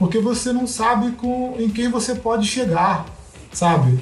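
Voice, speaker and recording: With audible room echo, a man speaks at a moderate pace with lively intonation. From Brazil, Rio de Janeiro (West Zone). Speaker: sociologist and mountaineer. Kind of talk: casual interview.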